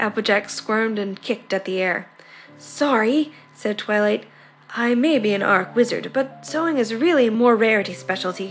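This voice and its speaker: A woman speaks at a medium pitch with lively intonation while music plays in the background. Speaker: fan fiction reader. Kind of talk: story reading with character voices.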